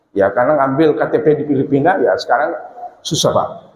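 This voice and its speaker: Fairly quick speech from a man, audible room echo around it. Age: 50s. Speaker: preacher. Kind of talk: sermon. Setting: mosque.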